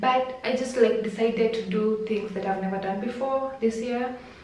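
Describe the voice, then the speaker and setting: Delivered at a moderate pace with fairly even intonation, the speech carries an audible room echo. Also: woman. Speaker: vlogger. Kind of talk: casual vlog chat. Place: home room. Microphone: phone near.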